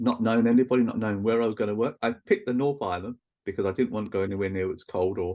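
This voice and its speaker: A man with a London accent at a very fast pace, dark and mellow in tone, fairly even in intonation, against a quiet background. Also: medium pitch for a man. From East London, England. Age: 60s. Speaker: Reiki practitioner and teacher. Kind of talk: casual interview chat.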